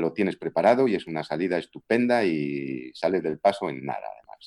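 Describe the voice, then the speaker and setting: In a Galician accent, the voice moves at a moderate pace with ordinary pitch variation, a dark, mellow tone and vocal fry, recorded dry and close with no echo. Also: man. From Galicia, Spain (Vigo). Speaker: voice actor and dubbing director. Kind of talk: interview.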